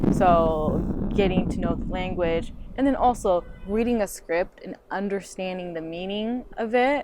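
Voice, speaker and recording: With a Japanese accent, a woman speaks fairly slowly at a medium pitch with ordinary pitch variation, against noticeable background noise. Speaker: actor. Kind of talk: casual interview.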